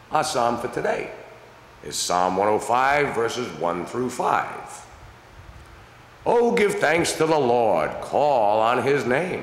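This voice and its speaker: Very slow speech with long, frequent pauses carries audible room echo. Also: man. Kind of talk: prayer. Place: church.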